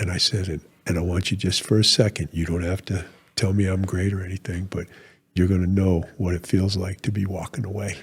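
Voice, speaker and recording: A man's very deep, low, somewhat breathy voice at a fairly quick pace, monotone and flat, on a very clean recording with a silent background. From New England, Rhode Island. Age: 60s. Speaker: retired military officer. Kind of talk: podcast interview.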